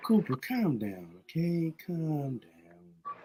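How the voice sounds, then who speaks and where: A put-on character voice at a middle pitch speaks at a very slow pace. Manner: creepy, fake-nice, non-threatening.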